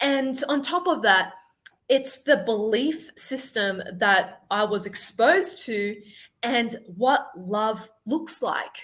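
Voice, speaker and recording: Very slow delivery in an Australian accent, with very wide pitch swings. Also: woman. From Sydney, Australia. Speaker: life confidence coach. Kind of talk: podcast interview.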